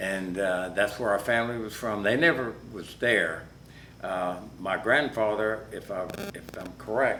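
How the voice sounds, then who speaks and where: A man with an American accent and a fairly low pitch, ordinary pitch variation, noticeable background noise and audible room echo. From US South (south Georgia). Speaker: interviewee, Air Force veteran. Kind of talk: oral history interview.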